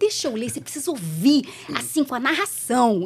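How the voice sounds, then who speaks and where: With very wide pitch swings in her high voice, a woman speaks at a fairly quick pace. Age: 40s. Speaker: TV reporter. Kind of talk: casual chat.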